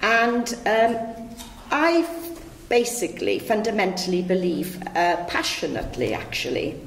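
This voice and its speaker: In a Welsh accent, a woman speaks at a fairly slow pace with lively intonation. Noticeable background noise and audible room echo fill the recording. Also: fairly high pitch for a woman. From West Wales. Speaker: local councillor. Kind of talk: panel speech.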